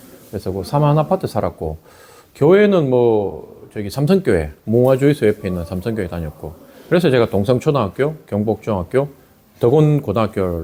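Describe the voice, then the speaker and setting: A fairly quick-paced man in a Gyeongsang accent, with very wide pitch swings. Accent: Gyeongsang dialect, kept on purpose. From Korea, Daegu. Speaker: election candidate. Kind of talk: campaign interview.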